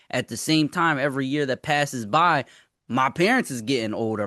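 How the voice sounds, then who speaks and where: A man talks fairly quickly in an unremarkable speaking voice, pitched fairly high. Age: 20s. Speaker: podcast host. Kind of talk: casual chat.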